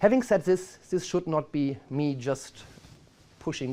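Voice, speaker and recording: The voice carries a strong German accent and a dark, mellow tone. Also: man. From Germany. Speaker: marketing executive. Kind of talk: presentation.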